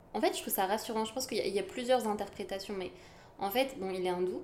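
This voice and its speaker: There is audible room echo as a woman speaks at a medium pitch with ordinary pitch variation. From France, Yvelines. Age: 20s. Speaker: artist and recent graduate. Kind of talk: casual chat.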